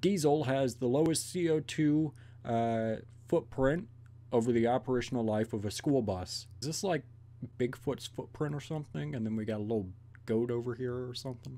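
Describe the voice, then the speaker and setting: Dark and mellow in tone, a man's voice moves at a moderate pace with ordinary pitch variation. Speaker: video reactor. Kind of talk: casual reaction commentary. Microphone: earbuds.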